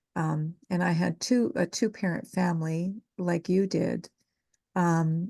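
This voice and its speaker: A woman speaks at a very slow pace in a Canadian accent, her pitch fairly low with ordinary variation and a somewhat breathy quality. Her loudness stays very even, and the sound is dry and close with no echo. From Gatineau, Quebec, Canada. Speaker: social work student podcast host. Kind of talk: casual interview with family member.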